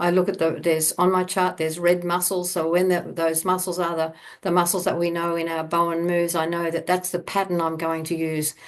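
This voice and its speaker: Fairly quick, flat, monotone speech from a woman with an Australian accent, hardly any pauses and a quiet background. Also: fairly low pitch for a woman. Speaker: bodywork therapist and teacher. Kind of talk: online talk to a summit audience. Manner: halting, many fillers and repeats.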